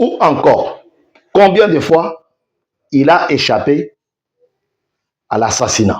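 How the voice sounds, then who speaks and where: A man with a Congolese accent speaks in a high voice at a very slow pace, with long, frequent pauses. His pitch swings very widely. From DR Congo. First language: Tshiluba (speaking French). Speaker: online news host. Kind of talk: news commentary show.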